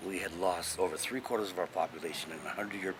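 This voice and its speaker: There is noticeable background noise behind this man. He speaks with a Hawaiian accent at a very deep, low pitch. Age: 60s. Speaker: Hawaiian cultural elder. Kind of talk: talk on culture. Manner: casual, with many fillers.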